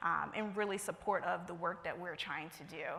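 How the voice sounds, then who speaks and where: A woman with an American accent, flat monotone intonation and a bright, sharp tone, with audible room echo. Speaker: conference presenter, account executive at a marketing firm. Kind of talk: conference presentation. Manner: fast.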